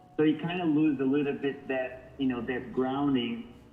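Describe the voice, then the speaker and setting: Against noticeable background noise and audible room echo, a man talks at a moderate pace with fairly even intonation. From northern Portugal. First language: Portuguese. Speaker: model. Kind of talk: interview. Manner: halting.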